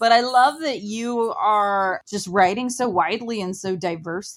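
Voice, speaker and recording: A woman with an American accent and an unremarkable speaking voice talks at a moderate pace, fairly high in pitch, with ordinary pitch variation. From Ohio, small town. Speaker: podcast host and author. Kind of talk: interview.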